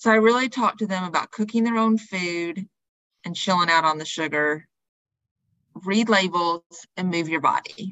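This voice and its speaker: A woman with a Southern US accent and a medium pitch talks at a moderate pace with ordinary pitch variation and long, frequent pauses. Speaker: personal trainer and wellness coach. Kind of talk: podcast interview.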